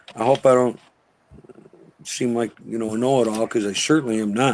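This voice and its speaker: Here a man speaks at medium pitch. His pace is fairly quick. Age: 60s. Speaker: actor and filmmaker, podcast guest. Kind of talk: casual chat. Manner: animated.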